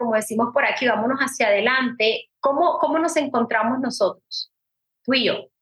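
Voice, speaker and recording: Speaking at a moderate pace, a woman with a high pitch uses ordinary pitch variation. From Puerto Rico. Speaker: business coach. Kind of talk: interview.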